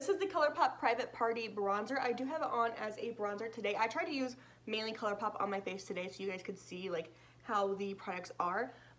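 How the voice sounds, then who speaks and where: Noticeable background noise accompanies a woman speaking at a fairly quick pace with lively intonation and a fairly high pitch. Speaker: beauty YouTuber. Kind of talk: product review. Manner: fast.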